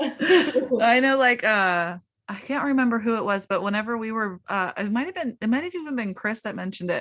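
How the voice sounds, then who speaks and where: A woman with an unremarkable speaking voice, fairly high in pitch, at a fairly quick pace with lively intonation, in a very clean recording with a silent background. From Pittsburgh, US. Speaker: podcast host. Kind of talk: casual chat. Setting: podcast interview.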